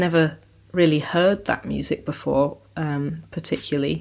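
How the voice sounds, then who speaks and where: A woman with a West Country accent is heard on a very clean recording with a silent background. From South Devon, England. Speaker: bluegrass guitarist and multi-instrumentalist. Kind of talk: casual interview chat.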